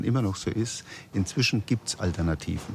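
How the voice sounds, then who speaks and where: A man with a very deep, low voice gets his words out fairly quickly. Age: 60s. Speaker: self-help group member. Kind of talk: interview. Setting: café.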